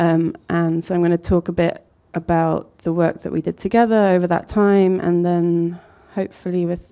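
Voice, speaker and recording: A woman mumbles at a moderate pace in a fairly low, dark and mellow voice. Her intonation stays monotone and flat. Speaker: architect and design collective co-founder. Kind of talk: talk to an audience. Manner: mumbling; hesitant, many fillers.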